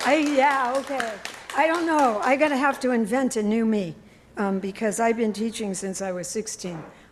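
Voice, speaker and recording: Her pitch is fairly high and her intonation lively as this woman talks at a moderate pace. Crowd noise sits in the background. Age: 70s. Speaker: worship leader, retired teacher. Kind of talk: worship service sharing. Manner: halting, many fillers.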